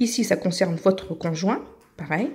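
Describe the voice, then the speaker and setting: A woman speaks at a medium pitch and a moderate pace with ordinary pitch variation. Her voice is somewhat breathy, with a dark, mellow tone. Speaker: YouTuber giving paperwork help. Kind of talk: tutorial. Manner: casual, hesitant with fillers.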